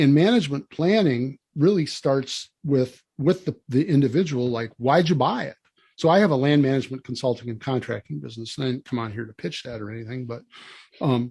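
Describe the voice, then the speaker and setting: A man with an American accent speaks fairly quickly at a medium pitch, somewhat breathy and dark, mellow in tone, with ordinary pitch variation and big swings in loudness. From Wisconsin. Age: 60s. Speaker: land management consultant. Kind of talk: podcast interview.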